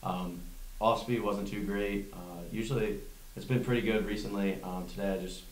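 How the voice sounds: A man's voice with little pitch movement and audible room echo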